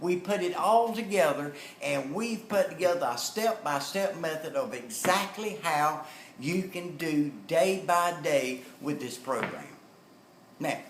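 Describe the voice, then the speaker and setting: Amid noticeable background noise and audible room echo, a man with a Southern US accent speaks at a high pitch with lively intonation. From North Carolina. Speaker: motivational speaker and network marketer. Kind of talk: storytelling and sales pitch.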